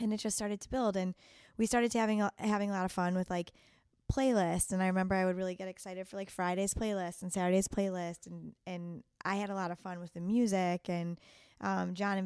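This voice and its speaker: Recorded very cleanly with a silent background, a woman with an American accent speaks at a fairly quick pace. She has an ordinary speaking voice, medium in pitch, with fairly even intonation. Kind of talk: casual interview chat.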